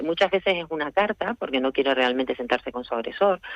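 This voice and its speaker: It's a plain, everyday voice, a woman speaking at a fairly low pitch with ordinary pitch variation. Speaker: lawyer, restorative justice specialist. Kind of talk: radio interview answer.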